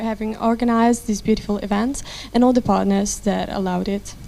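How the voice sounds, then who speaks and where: A woman talks in an Italian accent with fairly high pitch. Her pitch varies ordinarily, and there is noticeable background noise. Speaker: interpreter. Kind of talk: consecutive interpretation. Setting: press conference. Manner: halting, many fillers.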